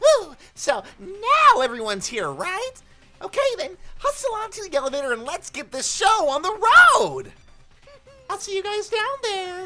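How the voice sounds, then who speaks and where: Using a put-on character voice at an extremely high pitch, the speaker keeps a moderate pace with long, frequent pauses. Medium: game stream. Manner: gleeful, theatrical.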